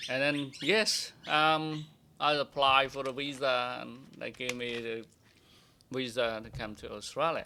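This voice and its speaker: A man's bright, sharp voice with a Cambodian accent, medium in pitch, fairly slow, with ordinary pitch variation and big swings in loudness. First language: Khmer. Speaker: immigrant sharing life story. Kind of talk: interview testimony. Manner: halting.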